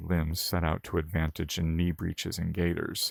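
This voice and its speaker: The recording is very clean, with a silent background and a dry, close sound without echo. A man speaks fairly quickly at a very deep, low pitch. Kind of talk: audiobook narration.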